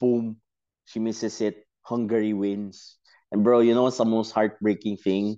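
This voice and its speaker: Against a quiet background, a man speaks at a fairly slow pace in a fairly low pitch with a dark, mellow tone. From Philippines, Davao City. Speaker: football supporter. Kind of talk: casual chat. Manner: animated.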